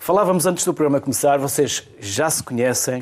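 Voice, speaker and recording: A man speaks in a European Portuguese accent with a fairly high pitch. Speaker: TV talk show host. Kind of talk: TV studio interview.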